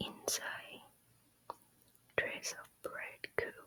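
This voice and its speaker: A whisper in a Thai accent, delivered at a very slow pace over noticeable background noise. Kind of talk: ASMR whispered storytime reading. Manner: whispered, soft-spoken.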